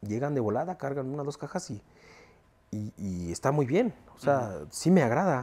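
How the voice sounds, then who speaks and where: A man speaks at a moderate pace in a fairly high voice with a dark, mellow tone, his pitch swinging very widely. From Mexico. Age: 40s. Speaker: sound system owner; interviewee. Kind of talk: interview. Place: home room.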